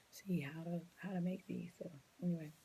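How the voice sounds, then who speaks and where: Soft-spoken and somewhat breathy, a woman talks at a moderate pace with a dark, mellow tone and a fairly low pitch. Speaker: preschool teacher. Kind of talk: tutorial. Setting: at home late at night.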